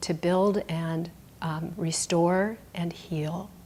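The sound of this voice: The speech moves at a slow pace, with a slightly mellow tone and fairly even intonation. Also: woman.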